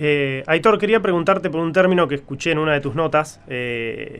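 A man speaks with a Rioplatense accent at a fairly high pitch. His pitch variation is ordinary and his pace moderate. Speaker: podcast co-host. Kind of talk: interview.

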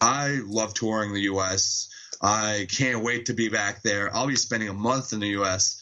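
Against noticeable background noise, a man with a fairly low pitch speaks at a fairly slow pace with fairly even intonation. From Montreal, Quebec. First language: French. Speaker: metal band vocalist. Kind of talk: casual interview chat. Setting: Skype call. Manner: hesitant, many fillers.

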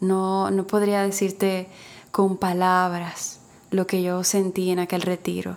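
A woman's very slow, monotone, flat delivery at very even loudness. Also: medium pitch for a woman. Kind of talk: interview testimony. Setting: remote from home.

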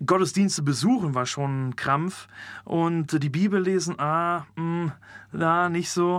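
A man's high voice at a very slow pace, with ordinary pitch variation, on a very clean recording with a silent background. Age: 20s. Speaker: theology student. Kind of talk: testimony.

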